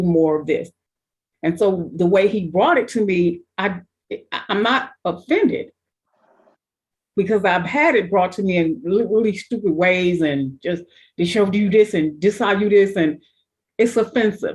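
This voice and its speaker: Somewhat breathy and medium-pitched, a woman talks at a moderate pace with lively intonation and long, frequent pauses. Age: 60s. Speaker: panelist. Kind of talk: group discussion.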